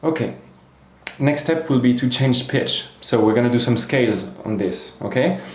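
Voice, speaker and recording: Over noticeable background noise and audible room echo, a man talks at a moderate pace with medium pitch and ordinary pitch variation. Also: very even loudness. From France. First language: French. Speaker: singing teacher. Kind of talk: tutorial.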